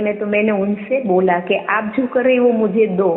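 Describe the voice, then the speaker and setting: Over music in the background, a woman with a Gujarati accent speaks at a moderate pace with a fairly high pitch. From Gujarat, India. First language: Gujarati (speaking Hindi). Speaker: devotee sharing experience. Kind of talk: testimony. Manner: halting.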